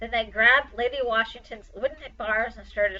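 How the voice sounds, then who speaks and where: A woman speaks in a normal speaking voice at a fairly high pitch. Her pace is moderate. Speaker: librarian. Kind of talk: children's story read-aloud.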